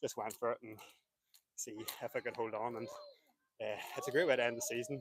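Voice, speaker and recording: Dry and close with no echo, a man with a Northern Irish accent talks at a very fast pace, his pitch medium and his intonation fairly even. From Northern Ireland. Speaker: runner, race winner. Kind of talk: post-race interview.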